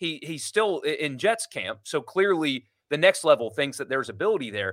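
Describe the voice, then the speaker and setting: A man talks at a fairly high pitch with very wide pitch swings and vocal fry. The recording is very clean, with a silent background. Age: 30s. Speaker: sports radio host. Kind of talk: casual chat.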